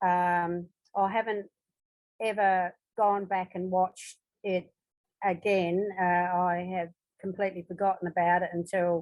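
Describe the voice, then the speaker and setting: A woman with an Australian accent, medium pitch, flat monotone intonation, at a fairly slow pace. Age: 70s. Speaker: audience member asking questions. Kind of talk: Q&A discussion. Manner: halting, many fillers.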